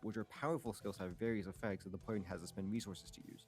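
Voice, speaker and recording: Music plays in the background. A man speaks in a fairly low pitch. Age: young. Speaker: YouTuber. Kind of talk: scripted narration. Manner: fast.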